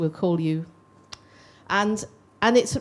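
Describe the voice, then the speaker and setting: This woman has a fairly low pitch and a British accent. She talks at a fairly quick pace with lively intonation. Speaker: older people's charity representative. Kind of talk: panel discussion.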